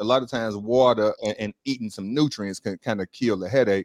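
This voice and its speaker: An unremarkable speaking voice with an American accent talks at a fairly quick pace with fairly even intonation, the sound dry and close with no echo. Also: man. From Chicago. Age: 40s. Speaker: real estate investor and juice bar owner. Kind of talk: casual chat. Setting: live online stream.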